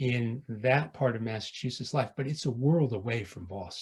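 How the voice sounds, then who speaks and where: With an American accent, a man talks at a medium pitch with ordinary pitch variation and a somewhat breathy voice. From Connecticut. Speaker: English professor. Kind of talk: panel discussion. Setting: video call. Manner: halting, many repetitions.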